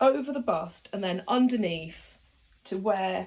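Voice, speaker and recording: Speaking at a moderate pace with a British accent, this voice carries vocal fry and ordinary pitch variation. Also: woman. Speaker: sewing tutor. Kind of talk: tutorial.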